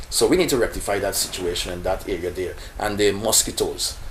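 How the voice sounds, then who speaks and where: Against noticeable background noise, a man talks with a Guyanese accent. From Guyana. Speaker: local election candidate. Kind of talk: interview answer.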